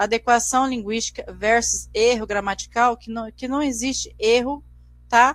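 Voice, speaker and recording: This woman talks at a moderate pace in a fairly high pitch. Her intonation is flat and monotone. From Brazil, Mato Grosso do Sul. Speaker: teacher. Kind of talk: lecture. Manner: halting, frequent repetitions.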